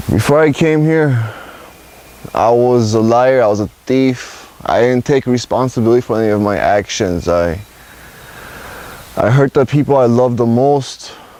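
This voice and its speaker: This man speaks with an American accent at medium pitch, moderate pace and very even loudness, with ordinary pitch variation. He leaves long, frequent pauses, and there is noticeable background noise. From Los Angeles, California. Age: 20s. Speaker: rehab program resident. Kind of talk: testimony.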